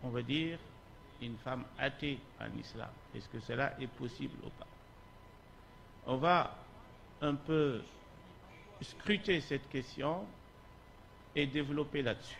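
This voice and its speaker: Amid audible room echo, a man with a fairly high pitch speaks very slowly, with long, frequent pauses, big swings in loudness and ordinary pitch variation. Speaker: Islamic scholar, lecturer. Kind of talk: lecture. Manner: slow, deliberate.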